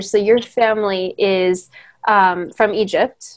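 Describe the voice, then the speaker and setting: A woman with a Californian accent talks at medium pitch with fairly even intonation. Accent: Californian American. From Hemet, California. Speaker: podcast host and former photographer. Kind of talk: casual interview chat.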